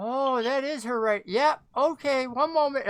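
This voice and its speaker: A put-on character voice from a woman, high in pitch, at a moderate pace. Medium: actual play. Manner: suspicious, clipped.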